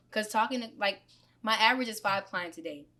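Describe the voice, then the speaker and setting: Her voice bright and sharp, a woman speaks at a fairly quick pace in a fairly high pitch. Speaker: tattoo artist and shop owner. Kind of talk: casual interview chat. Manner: quiet, soft-spoken.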